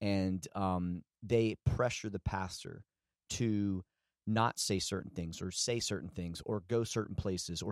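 A man with a Southern US accent speaks at a fairly low pitch with ordinary pitch variation. The sound is dry and close with no echo, in a very clean recording with a silent background. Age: 30s. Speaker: pastor. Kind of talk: casual chat.

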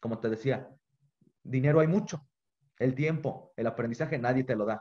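A man's somewhat breathy voice carries a dark, mellow tone and ordinary pitch variation. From Mexico, Guanajuato. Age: 20s. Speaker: business student and bakery owner. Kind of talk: interview.

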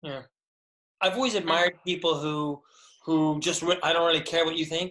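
The speech keeps a moderate pace, broken by long, frequent pauses. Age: 50s. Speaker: channel host, former co-worker of the guest. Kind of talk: casual interview chat. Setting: video call. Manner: halting, repeats words.

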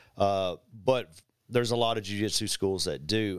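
Here is an ordinary speaking voice from a man, fairly low in pitch with ordinary pitch variation. He talks at a fairly slow pace in a very clean recording with a silent background. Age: 50s. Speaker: jiu-jitsu and martial arts instructor. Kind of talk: casual chat.

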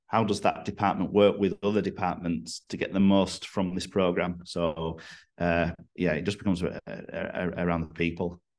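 With a northern English accent, a man talks at a moderate pace in a very deep, low pitch and fairly even intonation against a quiet background. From northern England. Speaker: rugby strength and conditioning coach. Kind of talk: podcast interview.

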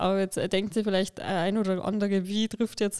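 A woman speaks in a Lower Bavarian accent at a moderate pace. Her tone is dark and mellow. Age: 20s. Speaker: influencer and podcast co-host. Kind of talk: casual chat.

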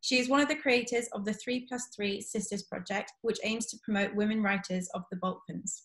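An unremarkable speaking voice from a woman, fairly high in pitch with ordinary pitch variation, at a fairly quick pace with hardly any pauses. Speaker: book club host. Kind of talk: moderated online author event. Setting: online video event.

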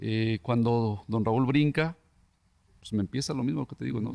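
In a dry, close sound with no echo, a man with a plain, everyday voice speaks at a fairly quick pace and medium pitch, with ordinary pitch variation. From Mexico, Tlaquepaque, Jalisco. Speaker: former professional footballer. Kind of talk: casual interview chat.

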